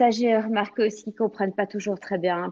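A woman with an unremarkable speaking voice, medium pitch and ordinary pitch variation, in a dry, close sound with no echo. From Belgium. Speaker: French teacher. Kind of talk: interview.

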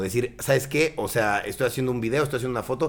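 A man speaks at a medium pitch. Background music can be heard. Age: 30s. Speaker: content creator. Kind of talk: casual interview chat.

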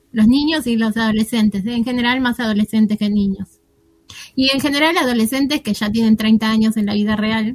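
A woman's fairly high, somewhat breathy voice at a fairly quick pace, dry and close with no echo. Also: fairly even intonation. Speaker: radio host. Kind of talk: casual chat.

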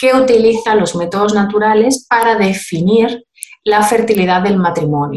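A woman in an Andalusian accent, with medium pitch and ordinary pitch variation. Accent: Andalusian (Cádiz). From Cádiz, Andalusia, Spain. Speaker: midwife and fertility method instructor. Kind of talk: informative interview.

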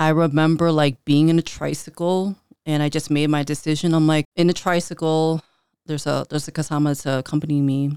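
With an American accent, a woman talks fairly quickly in a very deep, low voice and a monotone, flat delivery, the sound dry and close with no echo. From Chicago, north side (Filipino American family). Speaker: life coach and entrepreneur. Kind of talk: casual interview.

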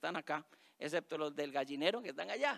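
Over a dry, close sound with no echo, a man speaks very fast with very wide swings in pitch. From Costa Rica, Alajuela. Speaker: teacher reading stories aloud.

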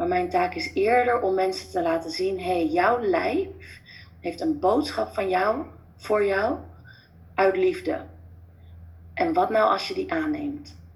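A woman speaks very slowly in a fairly high, somewhat breathy voice, leaving long, frequent pauses. Her pitch swings very widely, and audible room echo fills the recording. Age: 30s. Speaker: former family doctor, natural healing coach. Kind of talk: interview.

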